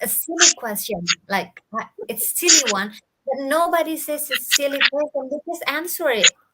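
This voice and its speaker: A woman with an Indonesian accent, bright and sharp in tone, with lively intonation at a moderate pace. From Bali, Indonesia. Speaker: digital entrepreneur. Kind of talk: live interview. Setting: live video stream. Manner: halting.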